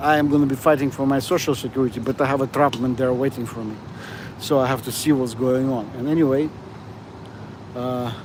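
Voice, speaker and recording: A man's medium-pitched voice, fairly quick yet broken by long, frequent pauses, with fairly even intonation amid noticeable background noise. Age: 60s. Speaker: vlogger, security guard. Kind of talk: casual livestream monologue. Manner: halting, many fillers.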